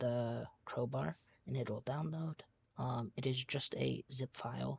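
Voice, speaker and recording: A man speaks quietly. His pace is very slow. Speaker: tutorial maker. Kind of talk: tutorial. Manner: hesitant, many fillers.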